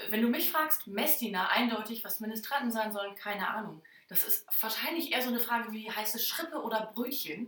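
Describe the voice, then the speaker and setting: A woman with a fairly high pitch and ordinary pitch variation speaks at a fairly quick pace. Noticeable background noise and audible room echo surround her voice. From northern Germany, Oldenburger Land. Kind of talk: casual chat. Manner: many filler sounds.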